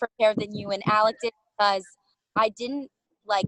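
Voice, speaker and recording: A woman's fairly high voice at a moderate pace, in a dry, close sound with no echo. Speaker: actor. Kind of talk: casual chat. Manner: loud.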